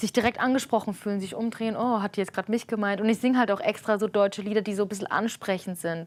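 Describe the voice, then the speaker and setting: A woman's very fast speech with fairly even intonation and hardly any pauses. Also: fairly high pitch for a woman. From Germany. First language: Armenian (speaking German). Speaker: street musician. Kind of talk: interview. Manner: casual, hesitant with fillers.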